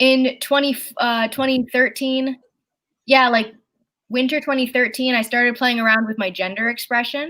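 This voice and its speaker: A woman speaks at a moderate pace and a high pitch, in a bright, sharp tone. Her intonation is fairly even, on a very clean recording with a silent background. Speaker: comedian and podcast host. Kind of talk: casual chat.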